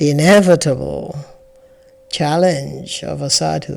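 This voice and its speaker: Over music in the background, a woman speaks very slowly at a very deep, low pitch. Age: 60s. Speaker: spiritual teacher and podcast host. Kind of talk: reflective spiritual talk. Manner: halting.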